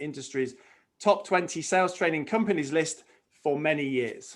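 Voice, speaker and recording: This voice has a British accent and ordinary pitch variation. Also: man. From UK. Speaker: webinar host, brand communications director. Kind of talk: webinar introduction.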